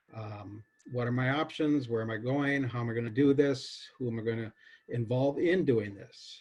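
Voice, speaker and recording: Somewhat breathy, a man talks at a fairly slow pace and medium pitch with ordinary pitch variation. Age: 60s. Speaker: farmer. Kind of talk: presentation. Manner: halting, many fillers.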